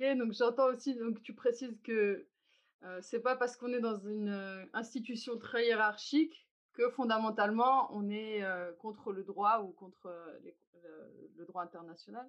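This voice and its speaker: A woman with an ordinary speaking voice, fairly high in pitch, at a fairly slow pace, with ordinary pitch variation and big swings in loudness. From Algeria. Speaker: podcast host. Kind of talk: structured dialogue.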